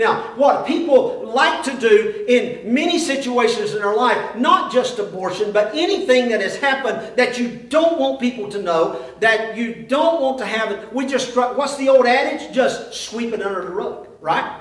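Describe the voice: With a strong room echo behind him, a man speaks at an extremely high pitch and a fairly slow pace, with few pauses, lively intonation and a fairly bright tone.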